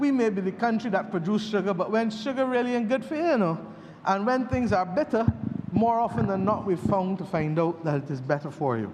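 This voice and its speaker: A man speaks with a high pitch and lively intonation at a fairly quick pace. Noticeable background noise is present. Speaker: politician. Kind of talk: parliamentary budget speech. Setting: parliament chamber.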